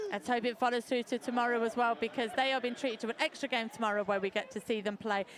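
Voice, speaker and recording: A woman with an English Midlands accent speaks at a very fast pace, with hardly any pauses and very even loudness. Her voice is fairly high, with ordinary pitch variation. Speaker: sports announcer. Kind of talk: live commentary. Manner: animated.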